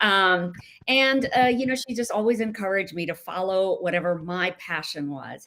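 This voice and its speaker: A woman's normal speaking voice at medium pitch, with lively intonation and a moderate pace. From India, raised in US from age nine. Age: 60s. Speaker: novelist. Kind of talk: interview.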